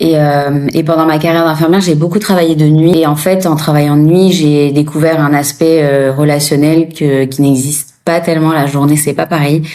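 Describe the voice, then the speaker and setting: A woman with a very deep, low pitch speaks at a moderate pace in a monotone, flat delivery, with very even loudness, hardly any pauses and audible room echo. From France. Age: 30s. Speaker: former nurse turned coach. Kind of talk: interview testimony. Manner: hesitant, many fillers.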